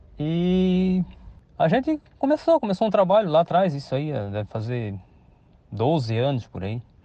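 A man's high-pitched, dark, mellow voice with very wide pitch swings, fairly slow pace and long, frequent pauses. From Santa Catarina, Brazil (São Pedro de Alcântara, Greater Florianópolis). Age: 50s. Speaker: farmer. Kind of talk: interview. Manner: halting, many repetitions and fillers.

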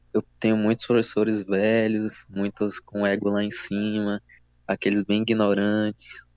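In a dry, close sound with no echo, a man speaks at a fairly slow pace with a fairly low pitch, monotone, flat intonation and very even loudness. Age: 20s. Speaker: engineering student. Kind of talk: casual chat.

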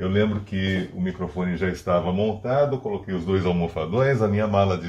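A man's dark, mellow tone, somewhat breathy, with lively intonation. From São Paulo city, Brazil. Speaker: voice-over artist. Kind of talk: interview. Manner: calm, relaxed.

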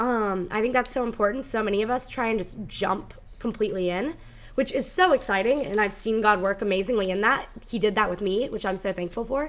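The delivery is fairly quick with ordinary pitch variation. It is a normal speaking voice. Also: woman, fairly high pitch for a woman. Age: 20s. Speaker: podcast host. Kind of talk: casual chat with prayer and testimony.

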